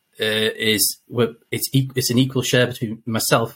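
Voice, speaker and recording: This man has a medium pitch and a somewhat breathy voice. His intonation stays fairly even. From northwest England. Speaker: race organiser and soldier. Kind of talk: casual interview.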